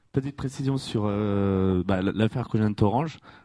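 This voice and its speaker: Over a quiet background, a man's fairly low, dark, mellow voice shows ordinary pitch variation in a dry, close sound with no echo. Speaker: audience member. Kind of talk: audience question. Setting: stage with audience.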